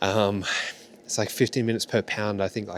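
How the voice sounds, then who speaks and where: A man with an Australian accent, at a fairly quick pace. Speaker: yacht chef. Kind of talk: casual chat.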